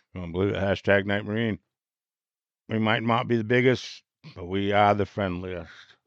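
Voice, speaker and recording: A man with a fairly low voice talks at a moderate pace. His speech has long, frequent pauses. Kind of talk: casual chat. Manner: animated.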